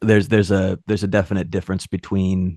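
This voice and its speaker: A man's very deep, low voice comes through in a monotone, flat delivery, dry and close with no echo. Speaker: audiobook narrator, musician and author. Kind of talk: casual podcast interview answer. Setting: podcast conversation.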